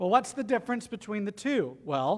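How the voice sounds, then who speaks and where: His accent is Southern US. The man's pitch makes very wide swings. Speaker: pastor. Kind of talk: sermon; storytelling. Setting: church.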